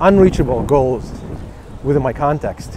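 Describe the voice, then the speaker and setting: A man's lively intonation at a moderate pace over noticeable background noise. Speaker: vlogger. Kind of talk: vlog monologue. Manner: halting.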